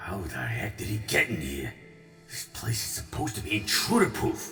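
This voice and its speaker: Over clear background music with a slight echo, a man puts on a gruff, growling character voice at a fairly low pitch and a moderate pace. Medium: read story. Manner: blunt, wisecracking, informal.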